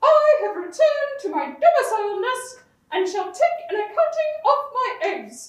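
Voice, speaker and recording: A cartoonish character voice delivered at a fairly slow pace. There is a slight echo on the recording. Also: female-sounding voice. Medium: puppet. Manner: formal, grandiloquent.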